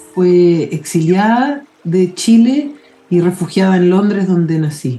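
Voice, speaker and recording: A woman's medium-pitched voice at a very slow pace, with lively intonation. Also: very even loudness. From London, England. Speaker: mycologist. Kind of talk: interview.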